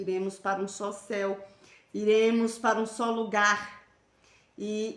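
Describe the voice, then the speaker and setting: A woman speaks at a medium pitch. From Northeast Brazil, near Garanhuns, Pernambuco. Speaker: evangelical live stream host. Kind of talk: religious live stream chat and exhortation. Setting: Facebook live stream. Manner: animated.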